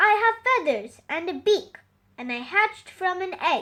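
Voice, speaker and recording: A woman puts on a character voice pitched extremely high, keeping her delivery at a moderate pace. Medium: read story. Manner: soft, careful.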